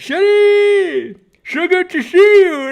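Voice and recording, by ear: A put-on character voice. The pitch sits extremely high.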